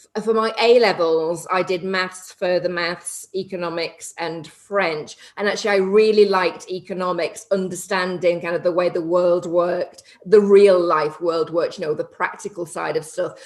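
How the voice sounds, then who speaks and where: A woman speaks at a medium pitch with fairly even intonation. Noticeable background noise runs behind her. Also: moderate pace, hardly any pauses. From northern England, between Liverpool and Manchester. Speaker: property investor and TV personality. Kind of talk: podcast interview.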